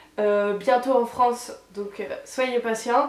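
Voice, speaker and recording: This woman's voice is high-pitched, and she speaks at a fairly slow pace. Noticeable background noise runs under her. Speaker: beauty youtuber. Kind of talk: product review. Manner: stammering.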